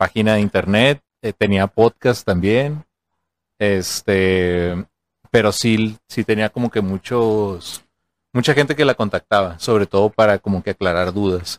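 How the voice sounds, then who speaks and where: The sound is dry and close with no echo, on a very clean recording with a silent background. A man speaks at a fairly low pitch with ordinary pitch variation. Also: fairly slow pace. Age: 30s. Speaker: podcast host. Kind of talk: casual chat.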